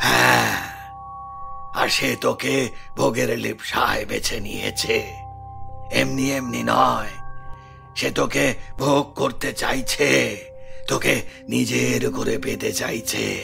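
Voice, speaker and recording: Clear music plays in the background. A man speaks in a cartoonish character voice at a very slow pace. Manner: commanding.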